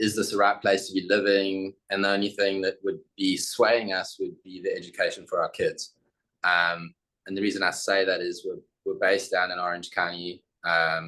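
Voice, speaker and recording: A man with a South African accent at a moderate pace. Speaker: architect. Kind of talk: presentation.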